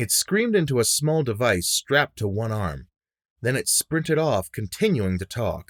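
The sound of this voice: Quiet background behind an unforced reading voice.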